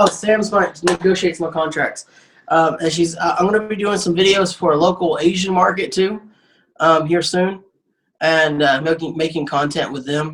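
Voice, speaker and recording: A man speaks in a Southern US accent at a moderate pace. His pitch is high. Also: fairly even intonation. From Arkansas. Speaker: comedian. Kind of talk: casual chat. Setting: studio. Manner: halting.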